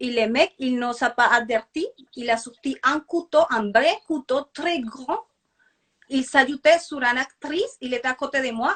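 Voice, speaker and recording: In a Spanish accent, a woman talks at a high pitch with ordinary pitch variation. The sound is dry and close, with no echo. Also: fairly slow pace. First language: Spanish (speaking French). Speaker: actress. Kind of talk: interview. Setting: Instagram live video call. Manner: halting, with hesitations.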